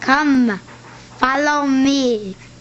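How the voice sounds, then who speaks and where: Against clear background noise, a woman puts on a character voice in a high pitch. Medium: read story.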